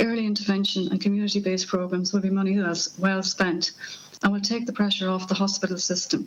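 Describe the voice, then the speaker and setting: Speaking very fast, a woman with an Irish accent keeps a medium pitch and flat, monotone intonation. Her loudness stays very even. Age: 50s. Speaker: person living with Parkinson's giving evidence to a parliamentary committee. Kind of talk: prepared opening statement. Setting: parliamentary committee hearing. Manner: halting, with stumbles and restarts.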